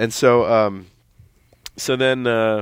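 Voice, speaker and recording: Very slow delivery in an American accent with fairly even intonation. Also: man. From Minnesota. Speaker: stand-up comedian. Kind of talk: casual interview. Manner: halting, many fillers and restarts.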